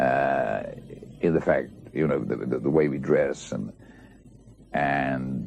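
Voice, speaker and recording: Pausing long and often, a man speaks very slowly while noticeable noise sounds behind him. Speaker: actor. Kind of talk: interview answer. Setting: television studio.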